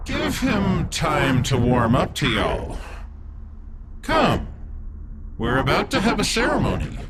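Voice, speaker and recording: Someone shouts in a put-on character voice at a fairly slow pace. Loud background noise fills the recording. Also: man. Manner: casual, drawling, menacing.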